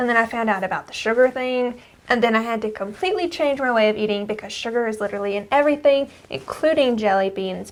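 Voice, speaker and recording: Fairly quick speech plays out over noticeable background noise. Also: woman. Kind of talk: casual podcast conversation.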